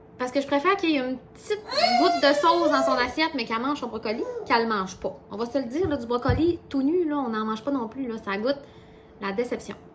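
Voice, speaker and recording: Noticeable background noise behind lively intonation, delivered at a fairly quick pace. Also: woman. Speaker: vlogger. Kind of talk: casual vlog chat. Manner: fast.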